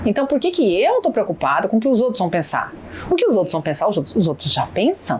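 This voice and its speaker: The speaker talks at a very fast pace with very wide pitch swings and very even loudness, over noticeable background noise. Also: woman, fairly high pitch for a woman. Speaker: businesswoman and negotiation mentor. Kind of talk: podcast interview.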